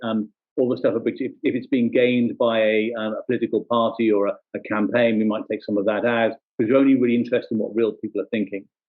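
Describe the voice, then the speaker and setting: A man speaks with a London accent. His pace is very fast. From England, London. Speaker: social media analyst, company founder. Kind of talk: presentation.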